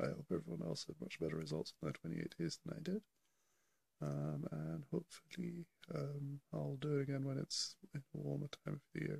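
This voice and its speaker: A man speaks quietly at a fairly quick pace. The sound is dry and close with no echo. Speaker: vlogger. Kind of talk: casual video diary. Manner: hesitant, many fillers; quiet, keeping voice down.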